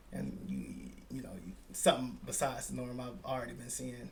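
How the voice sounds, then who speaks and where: A man is speaking. Room echo can be heard. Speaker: podcast host. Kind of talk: casual chat.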